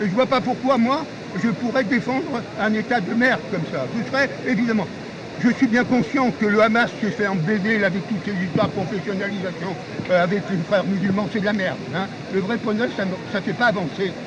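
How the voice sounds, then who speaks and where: Amid noticeable background noise and audible room echo, a man with a high pitch speaks at a moderate pace with lively intonation. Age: 80s+. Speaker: retired political activist. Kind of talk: heated street discussion. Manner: animated; halting.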